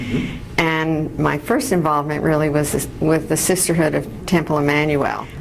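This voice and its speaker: This speaker talks at a moderate pace in an American accent with fairly even intonation. Noticeable background noise runs under the voice. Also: woman, very deep, low pitch for a woman, very even loudness. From New York City. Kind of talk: interview answer.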